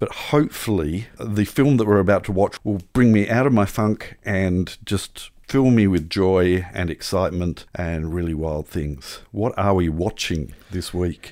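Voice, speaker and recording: A playful, fairly slow delivery in an Australian accent, with ordinary pitch variation, hardly any pauses, and a very clean recording with a silent background. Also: man, very deep, low pitch for a man. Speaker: podcast co-host. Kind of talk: casual chat. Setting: home studio. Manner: jokey, playful.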